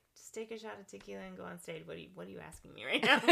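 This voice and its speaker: This is a put-on character voice, low in pitch and raspy. It rattles along at a very fast pace. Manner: blunt, incredulous.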